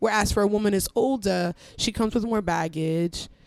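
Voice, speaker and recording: At a fairly slow pace comes an ordinary speaking voice. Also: woman. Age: 20s. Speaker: podcaster. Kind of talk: casual chat.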